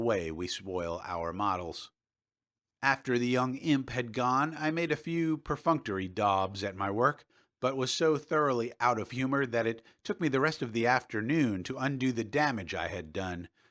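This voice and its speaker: Very clean recording with a silent background of a man with an ordinary speaking voice, medium pitch, lively intonation and a moderate pace. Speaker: audiobook narrator. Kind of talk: audiobook fiction reading.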